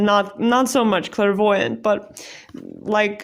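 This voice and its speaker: Speaking in a non-native accent, a woman's fairly high voice carries ordinary pitch variation. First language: not English. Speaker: tarot card reader. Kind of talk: pick-a-card tarot reading. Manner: casual, hesitant with many fillers.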